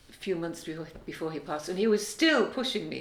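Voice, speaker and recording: Audible room echo surrounds a woman speaking fairly quickly at a fairly low pitch. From Wales. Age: 70s. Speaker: singer and songwriter. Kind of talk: interview.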